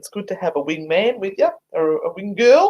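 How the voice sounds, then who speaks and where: A woman with an Australian accent. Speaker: paranormal investigator. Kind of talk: casual chat.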